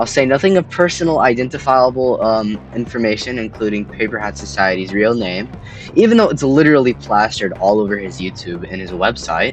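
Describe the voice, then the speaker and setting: Over music in the background, a man at medium pitch talks at a fairly quick pace with very wide pitch swings. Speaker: commentary YouTuber. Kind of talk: commentary voiceover.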